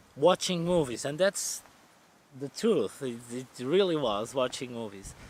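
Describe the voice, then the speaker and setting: In a Portuguese accent, a man speaks fairly slowly at a fairly high pitch with lively intonation. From central Portugal. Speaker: van life vlogger. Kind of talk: casual Q&A vlog. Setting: outdoors. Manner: halting, self-correcting.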